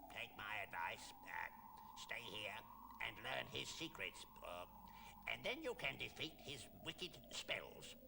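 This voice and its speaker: A man uses a put-on character voice, croaky and fairly slow. Loud background noise fills the clip. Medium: read story.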